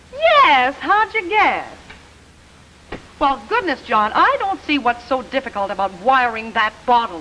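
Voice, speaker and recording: A high-pitched woman's raised, projected voice at a fairly slow pace, with very wide pitch swings and noticeable background noise. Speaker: singer and TV personality. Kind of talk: scripted comedic dialogue.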